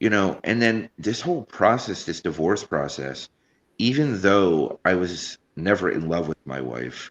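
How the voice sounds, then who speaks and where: Vocal fry and very wide pitch swings at a fairly slow pace, in a dry, close sound with no echo. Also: man, fairly low pitch for a man. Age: 40s. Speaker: podcast host. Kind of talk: casual chat.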